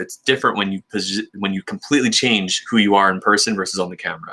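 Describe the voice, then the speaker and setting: Speaking at a very fast pace, a man with a fairly low pitch has a bright, sharp tone. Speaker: tech YouTuber. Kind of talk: casual chat. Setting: live stream.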